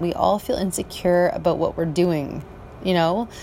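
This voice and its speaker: With noticeable background noise around her, a woman talks at a moderate pace. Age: 40s. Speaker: podcaster and office cleaner. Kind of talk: personal monologue. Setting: outdoors on a balcony at night. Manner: halting.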